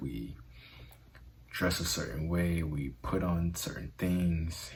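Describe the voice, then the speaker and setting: In a room with audible echo, a man with a very deep, low pitch talks at a fairly slow pace, somewhat breathy and with fairly even intonation. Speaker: self-help video host. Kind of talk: motivational talk. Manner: halting with fillers.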